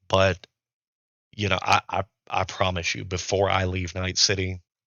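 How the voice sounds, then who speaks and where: A man puts on a raspy character voice with a very deep, low pitch at a moderate pace. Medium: actual play. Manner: hesitant, conversational, lots of filler.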